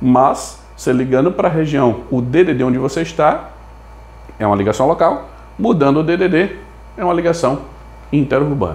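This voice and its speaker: A man at a moderate pace, lively in intonation, with long, frequent pauses. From Brazil. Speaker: telecom management consultant. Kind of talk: tutorial. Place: home room. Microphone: lapel.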